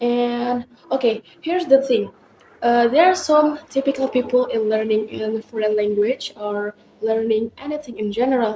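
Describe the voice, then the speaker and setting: A woman speaks in a high pitch with an Indonesian accent. Her pitch variation is ordinary. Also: moderate pace. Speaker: university student podcaster. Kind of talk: casual podcast monologue. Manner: hesitant, frequent filler words.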